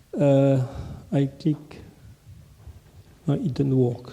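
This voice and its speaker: A man with a French accent speaks at a very slow pace, his voice somewhat breathy, with a dark, mellow tone and fairly high pitch. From France. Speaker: conference presenter. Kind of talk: conference presentation. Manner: halting.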